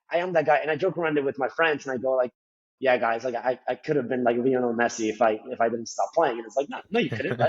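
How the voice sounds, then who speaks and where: A man talking at a very fast pace, with ordinary pitch variation. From Colombia. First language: Spanish. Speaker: finance professional. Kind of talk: casual interview. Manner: frequent fillers and repetitions.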